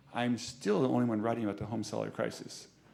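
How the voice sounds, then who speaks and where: Audible room echo surrounds a man who talks at a fairly quick pace in an animated tone. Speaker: urban planning professor. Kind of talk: lecture. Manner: fast.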